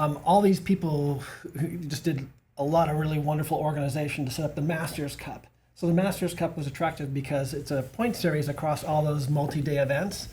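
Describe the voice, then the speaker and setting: Somewhat breathy and dark, mellow in tone, a man's fairly high voice moves at a fairly quick pace with fairly even intonation. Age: 60s. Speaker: masters bike racer and cycling coach. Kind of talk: casual podcast conversation.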